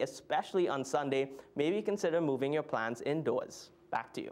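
This man's upbeat voice sits at a fairly high pitch with ordinary pitch variation. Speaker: TV weather presenter. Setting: TV studio. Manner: brisk, upbeat and conversational, steady newsreader pacing; clear explanatory tone with occasional filler hesitations. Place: studio.

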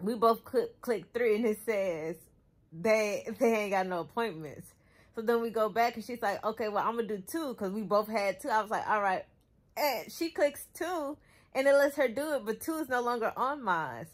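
A woman speaks with lively intonation at a moderate pace. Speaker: vlogger. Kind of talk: casual vlog chat. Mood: amused, laughing storytelling. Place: home room. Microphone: phone near.

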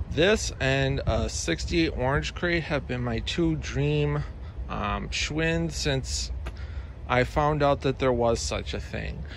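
A man talks at a very slow pace. The sound is dry with no echo, over light background noise. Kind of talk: casual review commentary. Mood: enthusiastic, proud. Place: garden. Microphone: phone near.

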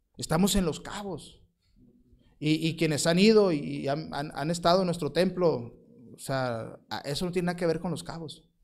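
A man's fairly high voice at a moderate pace, ordinary pitch variation, audible room echo. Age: 40s. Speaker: missionary pastor. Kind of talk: sermon.

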